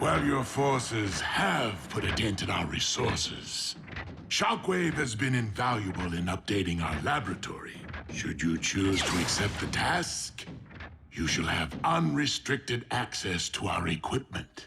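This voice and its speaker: A man performs a cartoonish character voice at a fairly low pitch and a moderate pace. Clear background noise runs behind him. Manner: measured, silky, menacing.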